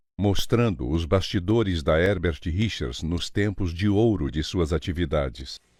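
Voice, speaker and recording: Over a quiet background, a man with a very deep, low pitch and vocal fry talks fairly slowly with lively intonation. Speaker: voice actor. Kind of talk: documentary narration.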